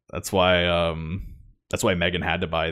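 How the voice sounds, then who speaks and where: A man's very deep, low voice comes fairly slowly and in a flat monotone, with audible room echo. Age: 20s. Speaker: podcast host. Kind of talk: casual chat.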